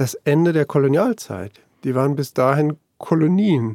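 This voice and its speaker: A man speaks at a fairly high pitch and a fairly slow pace. His pitch variation is ordinary. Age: 50s. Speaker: newspaper journalist. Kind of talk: conversational interview. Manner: hesitant, with many fillers.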